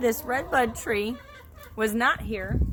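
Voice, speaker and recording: Noticeable background noise can be heard. The speaker talks at a fairly slow pace. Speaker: homesteader. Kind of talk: casual talk to camera.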